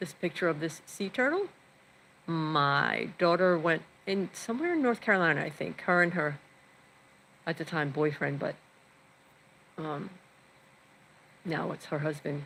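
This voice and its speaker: A woman with an American accent speaks at a fairly low pitch with ordinary pitch variation. Her pace is moderate, with long, frequent pauses. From New York. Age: 60s. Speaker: vlogger. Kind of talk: casual live stream chat. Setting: home, live stream.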